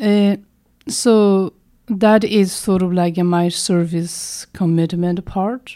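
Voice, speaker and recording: A woman with a Tibetan accent at a very slow pace, medium in pitch, with fairly even intonation. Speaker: Tibetan medicine doctor and teacher. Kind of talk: interview. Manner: halting, hesitant.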